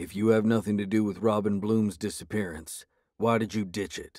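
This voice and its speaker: A man growls in a gruff, guttural put-on character voice at a fairly low pitch, on a very clean recording with a silent background. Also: moderate pace. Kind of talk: audiobook character voice. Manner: menacing, gruff.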